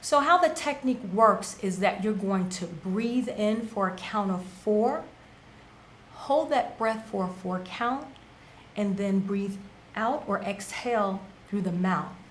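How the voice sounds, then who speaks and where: A woman speaks at a fairly slow pace with a medium pitch. Her pitch varies in an ordinary way, and audible room echo surrounds her voice. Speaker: wellness show co-host. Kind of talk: casual talk show explanation; guided meditation.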